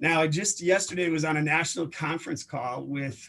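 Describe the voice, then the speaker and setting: A man talks with fairly even intonation. His pitch is fairly high. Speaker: career program instructor. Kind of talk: informational presentation. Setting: video call. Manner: fast.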